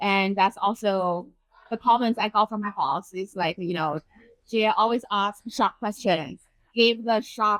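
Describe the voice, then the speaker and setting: A woman with a Chinese accent speaks at a fairly slow pace and medium pitch, with ordinary pitch variation. The sound is dry and close, with no echo. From China. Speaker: urban designer. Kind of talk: interview.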